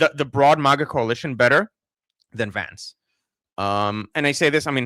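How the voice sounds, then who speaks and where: A man with an American accent speaks at a moderate pace in a fairly high pitch, his bright, sharp tone and ordinary pitch variation broken by long, frequent pauses, recorded dry and close with no echo. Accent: sounds American, picked up from TV. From Israel. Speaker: political commentator. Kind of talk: livestream commentary reading chat. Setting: livestream. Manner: halting, many fillers and repeats.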